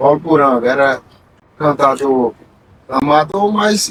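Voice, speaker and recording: The man's pitch is fairly high, with ordinary variation. He speaks at a fairly slow pace. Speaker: repentista poet. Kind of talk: casual interview chat.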